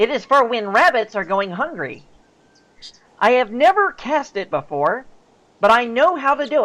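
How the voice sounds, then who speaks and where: A put-on character voice delivers its lines at a moderate pace. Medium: audio drama. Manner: polite, formal, slightly hesitant.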